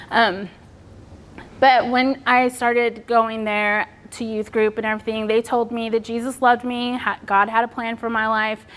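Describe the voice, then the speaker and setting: A woman's fairly high voice at a moderate pace, broken by long, frequent pauses. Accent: Texan. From Texas. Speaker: public speaker on suicide loss. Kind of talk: personal testimony talk.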